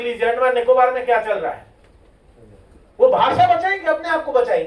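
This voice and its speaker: A man's extremely high-pitched voice with ordinary pitch variation and a moderate pace. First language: Meeni (Meena dialect) (speaking Hindi). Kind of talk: seminar speech. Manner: impassioned.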